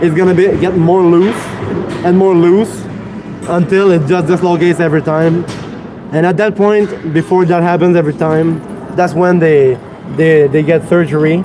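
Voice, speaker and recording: Over noticeable background noise, a man with a Quebec accent speaks at a high pitch and a moderate pace, keeping very even loudness and fairly even intonation with long, frequent pauses. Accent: Québécois French accent in English. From Quebec City, Canada. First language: French. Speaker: fitness livestreamer. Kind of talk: casual live-stream chat during workout. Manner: halting, repeats words.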